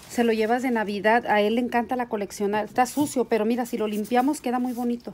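A woman with a fairly high pitch talks at a very fast pace with hardly any pauses. Her intonation is monotone and flat. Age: 50s. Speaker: YouTuber. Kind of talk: vlog. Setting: in a car. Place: home room. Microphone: phone near.

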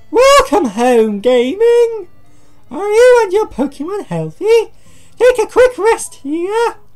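Over clear background music, a man puts on a character voice at an extremely high pitch, going at a fairly slow pace.

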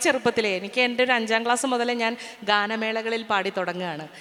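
A high-pitched woman's voice against noticeable background noise. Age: 50s. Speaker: singer and actress, former radio jockey. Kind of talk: interview on stage. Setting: stage with audience.

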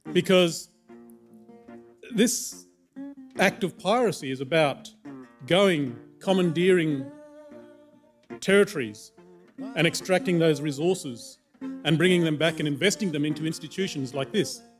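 High-pitched man with lively intonation, long, frequent pauses and faint music in the background. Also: fairly slow pace. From Western Australia, goldfields desert region. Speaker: anthropologist and cultural leader. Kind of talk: conference talk. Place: hall. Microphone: podium.

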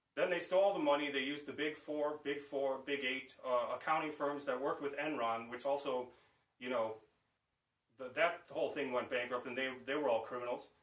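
Here a man with an American accent talks fairly quickly in a fairly high voice. His intonation is fairly even, and the room echo is audible. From Chicago, US Midwest. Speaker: vlogger, bass player; political commentator. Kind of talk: political rant monologue. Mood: indignant, accusatory. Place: home room.

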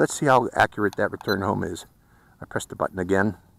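A man with a fairly low pitch and vocal fry talks at a very fast pace with lively intonation, in a dry sound with no echo and light background noise. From Pittsburgh, US. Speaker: drone reviewer YouTuber; drone reviewer. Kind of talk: product review and flight test narration. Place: open country. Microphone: phone near.

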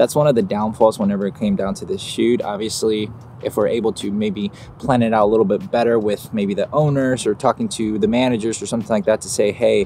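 A man at a very fast pace with fairly even intonation, in a dry sound with no echo and light background noise. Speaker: photographer vlogger. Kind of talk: casual vlog chat. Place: garden. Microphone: phone near.

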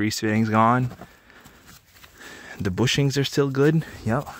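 A man's medium-pitched voice at a slow pace. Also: ordinary pitch variation.

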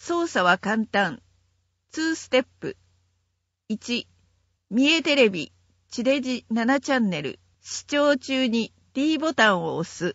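A woman with a high pitch speaks at a very slow pace, with long, frequent pauses and very wide pitch swings. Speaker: narrator. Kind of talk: reading aloud. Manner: formal.

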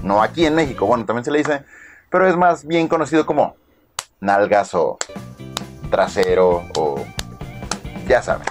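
The voice has an upbeat tone and a Mexican accent, with very wide pitch swings at a moderate pace. Long, frequent pauses break it up over clear music in the background. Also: man, fairly high pitch for a man. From Mexico. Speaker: vlogger. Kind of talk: casual talk to camera. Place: home room. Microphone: phone near.

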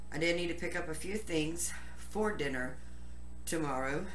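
The room echo is audible. Light noise sits in the background. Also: woman. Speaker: home cook vlogger. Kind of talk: casual vlog chat. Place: kitchen. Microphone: camera far.

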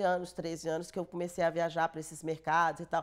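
Over a quiet background, a woman talks at a fairly quick pace in a fairly low pitch. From Brazil, northern Minas Gerais (Montes Claros); Minas Gerais, Brazil. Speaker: film producer; interviewee. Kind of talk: interview; interview answer. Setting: studio. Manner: halting. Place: studio. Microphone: lapel.

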